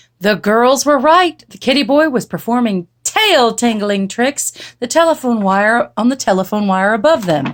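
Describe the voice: Lively intonation on plain reading aloud.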